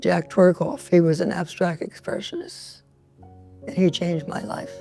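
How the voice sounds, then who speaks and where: A woman with a New York accent at a fairly slow pace and fairly low pitch, with ordinary pitch variation and music in the background. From New York City, the Bronx. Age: 90s. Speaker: painter. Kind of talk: interview. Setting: artist's loft.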